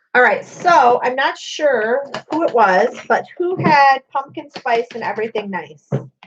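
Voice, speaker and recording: A loud woman's high-pitched voice with lively intonation, a fairly slow pace and hardly any pauses. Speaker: crafter and video host. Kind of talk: casual live craft demonstration. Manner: chatty.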